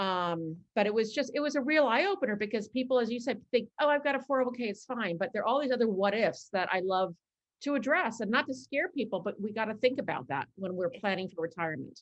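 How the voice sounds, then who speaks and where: Talking at a very fast pace with hardly any pauses, a woman with an American accent has a fairly high pitch and lively intonation. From New York. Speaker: financial advisor. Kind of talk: interview.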